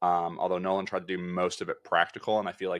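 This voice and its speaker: Against quiet surroundings, a man talks very fast. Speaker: film podcast co-host. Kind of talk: casual chat. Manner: loud.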